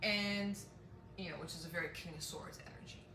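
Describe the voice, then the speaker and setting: A woman with a medium pitch speaks at a fairly slow pace. Audible room echo and noticeable background noise fill the recording. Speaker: tarot reader. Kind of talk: tarot reading monologue. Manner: halting, many fillers.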